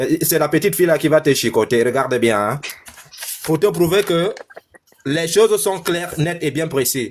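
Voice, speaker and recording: This man speaks with a Cameroonian accent at a fairly high pitch. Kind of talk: heated debate. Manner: animated.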